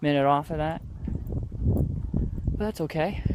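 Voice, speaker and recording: A man's fairly high-pitched voice with an American accent, over noticeable background noise. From New York State, Rochester. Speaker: vlogger. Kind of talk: walking vlog narration. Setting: outdoors walking street. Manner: casual, rambling with fillers.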